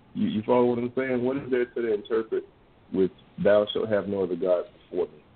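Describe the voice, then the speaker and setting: An unremarkable speaking voice with an American accent, at a fairly quick pace and with ordinary pitch variation. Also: man, medium pitch for a man. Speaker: radio co-host. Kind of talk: religious call-in radio show.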